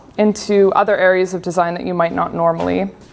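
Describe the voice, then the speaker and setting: A woman with a Canadian accent at a fairly quick pace. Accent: Canadian, noticeable to local audience. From Canada, grew up on a farm. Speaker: UX designer and speaker. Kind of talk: conference talk. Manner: casual, with filler words.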